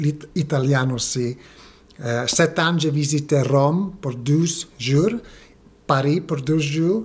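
A man's fairly high voice, somewhat breathy. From United States, Mexican-Guatemalan family. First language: English and Spanish (speaking French). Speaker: French learner vlogger. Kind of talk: video diary monologue. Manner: halting, hesitant. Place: home room. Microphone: phone near.

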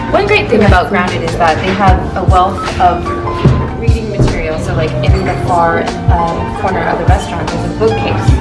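Over loud background music, a woman speaks at a moderate pace. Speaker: vlogger. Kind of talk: casual vlog chat. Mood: cheerful, enthusiastic. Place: cafe.

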